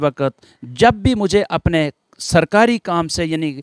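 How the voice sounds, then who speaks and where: A man talks at a fairly slow pace in a fairly high pitch, with a quiet background and a dry sound with no echo. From Poonch district, Jammu and Kashmir; Jammu and Kashmir. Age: 50s. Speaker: police officer; interview guest. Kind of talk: interview testimony. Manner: formal. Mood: reverent, measured. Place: garden. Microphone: handheld.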